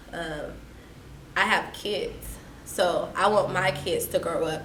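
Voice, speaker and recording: Against noticeable background noise, a woman with an American accent speaks at a very slow pace. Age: young. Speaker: activist, educator. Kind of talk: interview answer.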